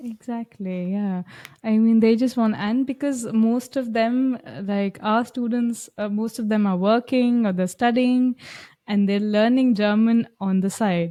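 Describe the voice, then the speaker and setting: In an Indian accent, a woman speaks at a fairly high pitch and a fairly slow pace, with fairly even intonation and a dark, mellow tone. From India, Lucknow. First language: Hindi. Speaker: German language coach. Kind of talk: podcast interview.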